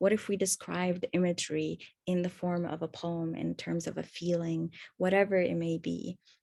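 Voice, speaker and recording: With an Arabic accent, a woman speaks in a dark, mellow tone at a fairly low pitch with ordinary pitch variation. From Egypt. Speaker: accessibility workshop presenter. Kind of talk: webinar presentation. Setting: online webinar.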